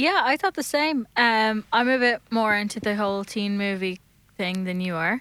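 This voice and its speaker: A woman with a Dublin accent speaks at a moderate pace, her fairly high pitch and bright, sharp tone carried by lively intonation. The recording is very clean with a silent background, and the sound is dry and close with no echo. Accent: Irish (Dublin). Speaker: podcast co-host. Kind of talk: live radio chat. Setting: studio.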